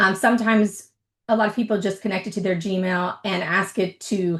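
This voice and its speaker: Against a quiet background, a woman of medium pitch talks at a moderate pace. Her voice is somewhat breathy, her intonation fairly even. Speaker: tech presenter, workshop host. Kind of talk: webinar presentation, tutorial.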